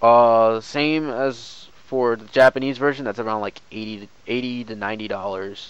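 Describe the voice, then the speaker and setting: A man in a normal speaking voice talks at a moderate pace with medium pitch, fairly even intonation, hardly any pauses and big swings in loudness. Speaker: gaming streamer. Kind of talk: game tutorial stream. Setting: live stream. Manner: casual, filler-heavy.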